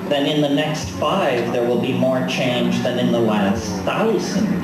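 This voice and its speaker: A man talks fairly slowly, with noticeable noise in the background. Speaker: spoken word performer. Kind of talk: live spoken word performance over soundscape.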